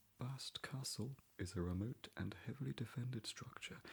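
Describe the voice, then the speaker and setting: A man whispers in a soft-spoken, somewhat breathy voice at a fairly slow pace. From English Midlands. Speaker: ASMR creator. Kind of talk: ASMR book reading. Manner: whispered and soft-spoken.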